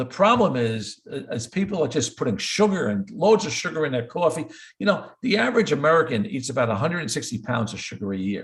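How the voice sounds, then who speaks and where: Talking very fast with hardly any pauses, a man at a fairly high pitch uses very wide pitch swings and vocal fry. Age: 70s. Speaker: cardiologist. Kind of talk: interview. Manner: repetitive stammering on words.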